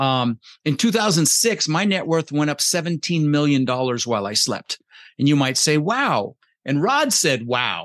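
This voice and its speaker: A man's ordinary speaking voice, fairly high in pitch, with lively intonation at a moderate pace. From Netherlands-born, raised in Denver, Colorado. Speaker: real estate investor and coach. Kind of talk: interview. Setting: video call.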